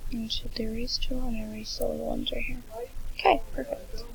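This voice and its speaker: Quiet whispering at a fairly quick pace over noticeable background noise. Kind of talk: screen-recording software tutorial narration. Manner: whispered, quiet.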